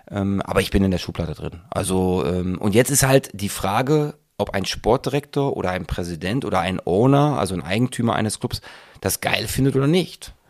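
Having a normal speaking voice, a man talks at a moderate pace and fairly low pitch in a very clean recording with a silent background. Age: 40s. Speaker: football coach. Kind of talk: interview.

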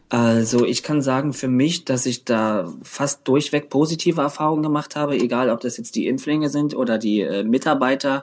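The man's pitch sits at a medium level with ordinary variation. He keeps a moderate pace. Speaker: drag performer and DJ. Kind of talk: casual interview. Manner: loud.

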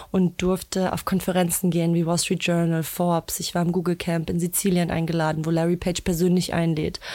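A woman talks at a fairly quick pace. Her voice is fairly low-pitched with a dark, mellow tone. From Germany, Berlin. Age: 20s. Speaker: founder of a women's network. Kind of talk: interview.

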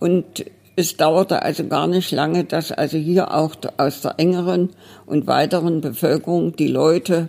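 Very deep, low-pitched woman's voice with vocal fry, a dark, mellow tone and a fairly slow pace. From Dresden, Saxony. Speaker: retired librarian running a private library. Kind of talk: interview. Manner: lively, animated storytelling.

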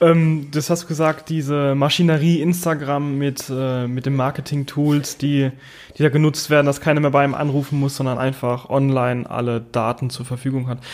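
The man's pitch sits fairly high, and his intonation is flat and monotone. He moves at a moderate pace. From Mannheim area, Germany. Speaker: podcast host. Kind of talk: casual chat.

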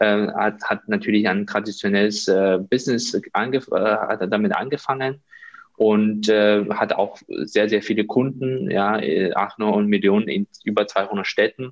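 Speaking at a fairly slow pace, a man keeps a fairly low pitch, very even loudness and fairly even intonation. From China. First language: Chinese (speaking German). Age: 30s. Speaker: healthcare business consultant. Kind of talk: interview. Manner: hesitant, many fillers.

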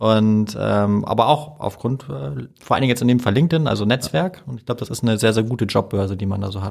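A man of medium pitch speaks at a very fast pace. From Hamburg, Germany. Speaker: podcast host. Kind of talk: interview.

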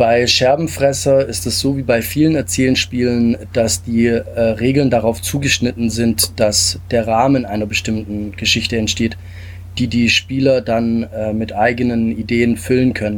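At a fairly slow pace, a man of medium pitch talks in an ordinary speaking voice with ordinary pitch variation. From Stuttgart area, Germany. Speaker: game designer. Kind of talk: interview.

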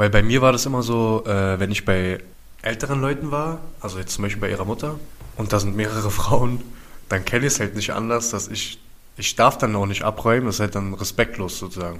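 At a fairly quick pace, a man talks in an ordinary speaking voice, fairly low in pitch, with ordinary pitch variation. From Berlin, Germany (Wedding, then East Berlin). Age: 30s. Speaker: prevention project worker. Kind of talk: casual chat.

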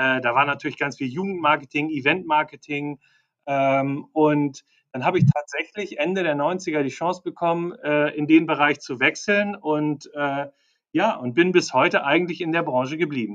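The man's voice sits fairly high, moves through pitch in a typical way, and keeps a medium speed. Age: 50s. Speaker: marketing and sales executive. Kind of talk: interview. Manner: halting, many fillers.

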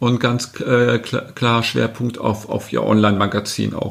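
Noticeable background noise surrounds this speaker. He is a man with a medium-pitched voice. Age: 50s. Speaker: marketing agency director. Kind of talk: podcast interview.

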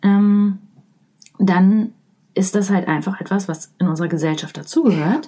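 A woman's somewhat breathy voice sits at medium pitch with a dark, mellow tone. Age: 30s. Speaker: leadership trainer and coach. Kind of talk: interview.

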